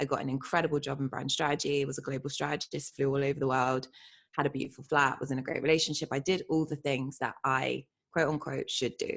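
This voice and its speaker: A woman's very deep, low voice in flat, monotone intonation at a very fast pace. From England, Bristol area. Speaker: identity coach. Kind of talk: interview.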